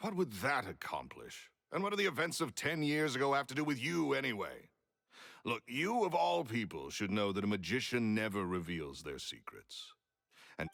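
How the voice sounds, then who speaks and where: Vocal fry marks this man's voice. His pitch swings very widely. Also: medium pitch for a man, moderate pace. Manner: curt, dismissive.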